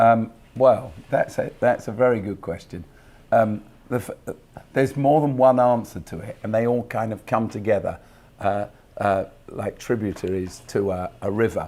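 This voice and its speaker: This man has a southern English accent and a dark, mellow tone. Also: medium pitch for a man, ordinary pitch variation, moderate pace. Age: 60s. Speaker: pastor. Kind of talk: interview. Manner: hesitant, many fillers.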